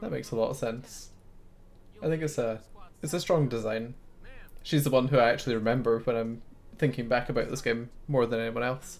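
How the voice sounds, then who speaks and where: A man's medium-pitched voice with a slight Scottish accent, fairly quick in pace, broken by long, frequent pauses. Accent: Scottish, mild. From Scotland. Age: 20s. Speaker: gaming streamer. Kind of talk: live game stream commentary. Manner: sometimes stumbles over words.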